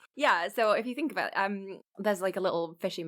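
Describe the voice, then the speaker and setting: This woman speaks with an English accent. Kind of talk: casual chat.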